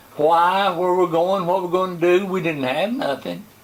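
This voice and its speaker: The speaker has an American accent. Noticeable background noise runs under the voice. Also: man. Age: 90s. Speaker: pastor. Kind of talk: testimony. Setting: interview.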